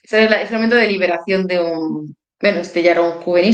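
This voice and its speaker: Fairly low in pitch, a woman's voice keeps a fairly even intonation. She speaks at a fairly quick pace. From Málaga, Andalusia, Spain. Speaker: bird conservation volunteer. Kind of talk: interview. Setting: live stream.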